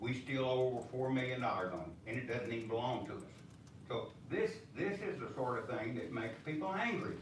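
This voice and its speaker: A man of medium pitch with a Texan accent and lively intonation, amid audible room echo and noticeable background noise. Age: 80s+. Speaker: public commenter at city council. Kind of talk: public comment speech. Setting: city council meeting. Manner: halting.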